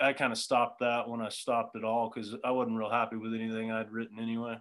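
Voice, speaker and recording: With an American accent, a man speaks at medium pitch and a fairly quick pace in a bright, sharp tone, on a very clean recording with a silent background. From Southern California. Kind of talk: casual chat.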